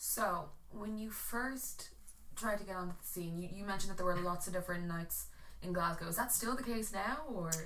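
A woman with an Irish accent, medium pitch, bright, sharp tone, ordinary pitch variation and a fairly quick pace. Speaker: podcast host. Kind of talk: casual chat. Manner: animated.

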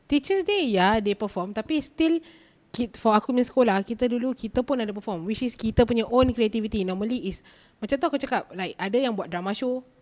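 Fairly quick and lively in intonation, a woman speaks at a fairly high pitch in an unremarkable speaking voice. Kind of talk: casual chat. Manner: code-switching Malay and English.

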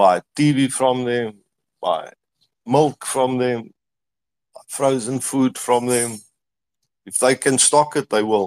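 A man with a South African accent speaks at a very slow pace and medium pitch, leaving long, frequent pauses. His pitch variation is ordinary, and the sound is dry and close with no echo. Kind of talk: casual chat. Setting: online audio space.

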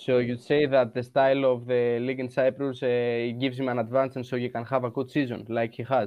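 Speaking at a very fast pace, a man with a Greek accent keeps a medium pitch and a monotone, flat intonation. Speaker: football podcast host. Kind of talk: interview.

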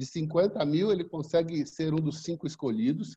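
A man is speaking. His tone is dark and mellow. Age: 60s. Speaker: business hub co-founder, former school director. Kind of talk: interview.

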